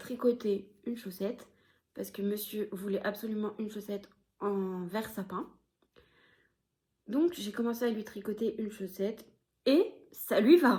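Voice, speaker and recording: A woman's fairly high voice, dark and mellow in tone, with ordinary pitch variation and long, frequent pauses. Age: 30s. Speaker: knitting podcaster. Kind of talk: casual vlog chat. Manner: hesitant, filler-heavy.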